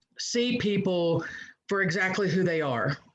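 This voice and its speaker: A woman with a Southern US accent speaks fairly slowly at a medium pitch with ordinary pitch variation. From US South, South Georgia (Valdosta). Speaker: pastor. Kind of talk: personal testimony in a panel discussion.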